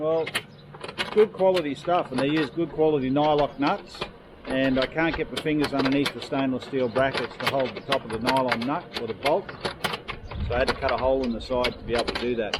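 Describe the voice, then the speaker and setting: Over noticeable background noise, the speech moves at a fairly quick pace with ordinary pitch variation. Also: man, medium pitch for a man. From Australia. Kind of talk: casual travel vlog talk.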